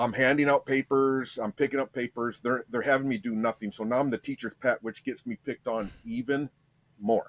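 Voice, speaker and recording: A man with a Michigan accent talks at a medium pitch and a fairly quick pace. His intonation is fairly even, and the sound is dry and close with no echo. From US Midwest, Michigan and Ohio, raised partly in Las Vegas. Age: 50s. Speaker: podcast guest sharing life story. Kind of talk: personal testimony in interview. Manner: halting, frequent repetitions.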